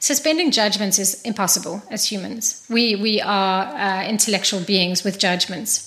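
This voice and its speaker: Against noticeable background noise, a woman at a medium pitch speaks at a fairly slow pace with ordinary pitch variation. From Zambia. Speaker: facilitator. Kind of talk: interview.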